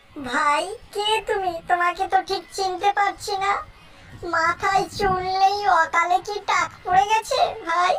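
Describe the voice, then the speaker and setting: The speech proceeds at a fairly slow pace. It comes in a cartoonish character voice. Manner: nervous, wheedling.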